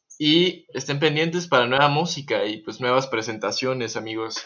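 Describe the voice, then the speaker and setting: A man with a plain, everyday voice talks at a moderate pace in a medium pitch. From Texas, US. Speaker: guitarist and music producer. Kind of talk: casual chat. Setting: remote recording from home.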